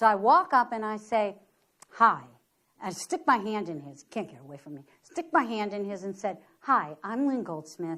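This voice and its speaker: With an American accent, a woman talks at a moderate pace and medium pitch. Her pitch swings very widely. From US Midwest, inner-city Detroit. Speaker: photographer. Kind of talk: lecture. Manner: animated.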